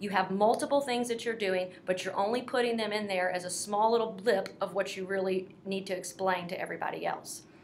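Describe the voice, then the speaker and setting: Over noticeable background noise, a woman with an American accent talks at a fairly quick pace and medium pitch, her intonation fairly even. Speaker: career coach for military veterans. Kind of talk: casual advice talk. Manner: fast.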